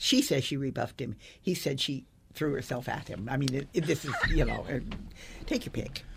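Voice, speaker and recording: Her voice is very deep and low, with ordinary pitch variation. The woman speaks at a fairly quick pace. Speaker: newspaper columnist and author. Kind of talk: interview. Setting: studio. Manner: halting.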